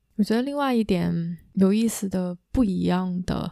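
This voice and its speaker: In a very clean recording with a silent background and a dry, close sound with no echo, a woman speaks at medium pitch and a fairly slow pace, her calm, warm, dark, mellow tone carrying fairly even intonation. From China. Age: young. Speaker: leadership coach and podcast host. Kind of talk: solo reflective monologue. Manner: calm and warm.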